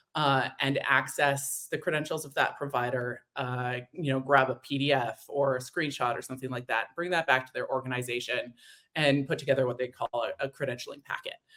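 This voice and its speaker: A woman's very deep, low voice with a slight Canadian accent, fairly quick and monotone, flat in intonation, with hardly any pauses. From Canada, Edmonton, Alberta. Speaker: demand generation marketer. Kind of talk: webinar interview. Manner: hesitant with many fillers.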